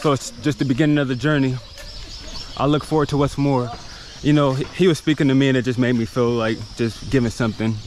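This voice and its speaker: The pace is fairly quick, broken by long, frequent pauses. The sound is dry with no echo, over light background noise. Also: man. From United States. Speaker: travel vlogger. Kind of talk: vlog narration. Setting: outdoors. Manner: animated. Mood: reflective, indignant at times. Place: beach. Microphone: phone near.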